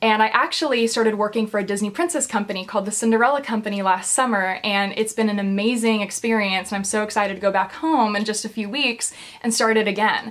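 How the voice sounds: A woman talks at a fairly quick pace with few pauses, her medium pitch showing ordinary variation and a fairly bright tone.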